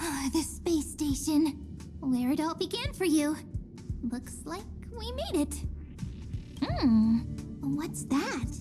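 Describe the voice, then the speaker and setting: A put-on character voice, pitched high and moving at a fairly slow pace. Long pauses come often, with loud music in the background. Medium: video game. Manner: playful.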